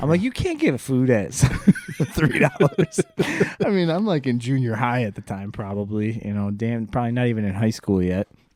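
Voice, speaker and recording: A man with a Chicago accent at medium pitch, moderate pace and lively intonation, over noticeable background noise. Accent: Chicago-area American. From US Midwest, Joliet, Illinois. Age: 40s. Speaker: podcast host. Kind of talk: casual chat.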